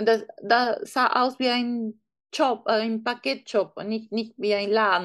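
A woman's fairly high voice with a Peruvian accent, very slow with ordinary pitch variation, against a quiet background. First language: Spanish (speaking German). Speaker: online shop founder. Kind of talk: interview. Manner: halting.

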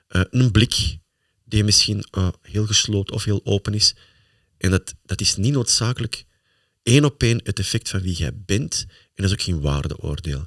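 Speaking slowly-ish with a Flemish accent, a man uses fairly low pitch and lively intonation, the sound dry and close with no echo in a very clean recording with a silent background. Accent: Flemish Dutch. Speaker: motivational speaker, podcast host. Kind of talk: casual chat.

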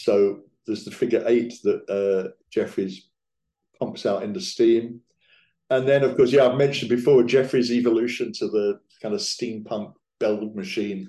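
A man with an English accent speaks in a dark, mellow tone. His pitch is medium, with ordinary variation. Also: moderate pace. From England. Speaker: magician and theatre writer. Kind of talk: casual chat.

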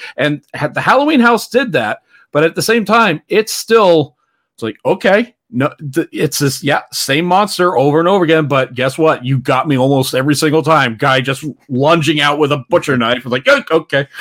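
With a normal speaking voice, a man talks at a moderate pace and a fairly high pitch in a dry, close recording with no echo. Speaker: podcast host guest. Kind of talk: casual chat.

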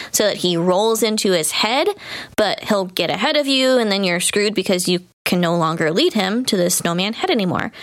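A woman with a fairly high voice speaks with lively intonation over noticeable background noise. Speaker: podcast co-host. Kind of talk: casual chat.

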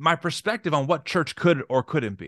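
A man with an American accent, fairly high pitch, bright, sharp tone, animated tone and lively intonation at a moderate pace, in a dry, close sound with no echo against a quiet background. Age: 30s. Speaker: podcast host. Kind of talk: casual chat.

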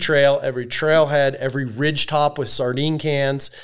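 A man speaks at a moderate pace. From California, moved to Idaho at ten. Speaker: outdoorsman and survival reality show contestant. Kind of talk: casual interview chat.

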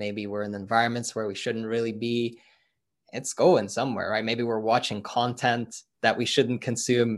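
A man's monotone, flat voice in a Norwegian accent, medium in pitch, at a moderate pace against a quiet background. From Norway. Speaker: personal growth and business coach. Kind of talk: interview.

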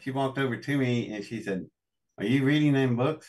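A man in an Appalachian accent, medium pitch, ordinary pitch variation. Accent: Appalachian American. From US South, West Virginia. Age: 60s. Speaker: inventor and engineer. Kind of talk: interview. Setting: live stream.

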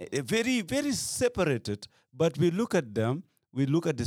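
On a very clean recording with a silent background and a dry, close sound with no echo, a man with a Gambian accent speaks with very wide pitch swings. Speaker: activist. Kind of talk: casual chat.

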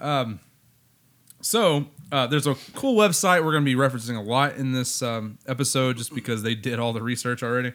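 At a moderate pace, a man speaks at medium pitch in a plain, everyday voice with ordinary pitch variation. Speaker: podcast host. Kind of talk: casual chat. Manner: joking.

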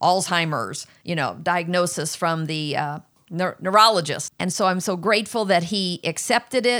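In a very clean recording with a silent background, a woman with an ordinary speaking voice talks at a medium pitch and moderate pace, her pitch varying in an ordinary way. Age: 60s. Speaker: host's mother. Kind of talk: interview.

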